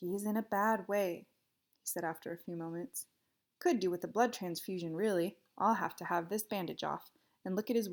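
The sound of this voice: Unforced reading voice, ordinary pitch variation, quiet background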